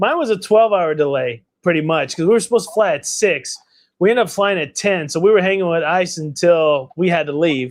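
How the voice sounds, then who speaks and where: Loud and animated, a man with a high-pitched voice talks at a fairly quick pace with ordinary pitch variation against a quiet background. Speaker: collectibles channel host, statue unboxer. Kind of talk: casual livestream chat.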